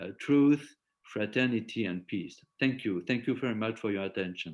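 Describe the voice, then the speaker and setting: In a French accent, a man speaks at a medium pitch with ordinary pitch variation. His pace is moderate. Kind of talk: lecture. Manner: halting, many repetitions and fillers.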